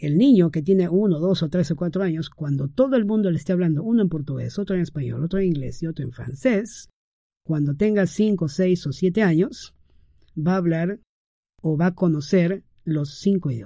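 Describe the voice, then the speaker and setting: With a dark, mellow tone, a man at a high pitch speaks at a moderate pace with ordinary pitch variation. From Peru. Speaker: podcast host. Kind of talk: casual monologue advice. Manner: warm, hesitant with fillers.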